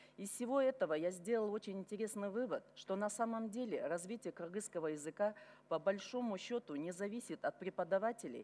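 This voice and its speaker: At a fairly quick pace, a woman talks in a dark, mellow tone at a medium pitch with ordinary pitch variation. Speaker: member of parliament. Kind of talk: formal speech to parliament. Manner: formal.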